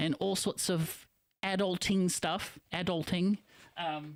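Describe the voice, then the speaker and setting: With a New Zealand accent, a man speaks at a high pitch with ordinary pitch variation. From New Zealand (from age 7, born in Philippines). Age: 40s. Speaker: internet radio host. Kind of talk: live stream monologue. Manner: casual, rambling with fillers.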